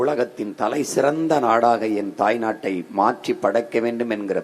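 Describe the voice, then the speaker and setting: This is a plain, everyday voice. It has ordinary pitch variation. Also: man. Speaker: political party leader giving an election campaign speech. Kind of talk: political rally speech.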